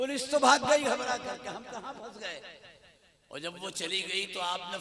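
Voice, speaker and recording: A man speaks in a raised, projected voice. Noticeable background noise runs underneath. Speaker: Islamic preacher, religious orator. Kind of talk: religious sermon delivered to an audience. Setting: public gathering with sound system. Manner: oratorical, declamatory, with quoted verses.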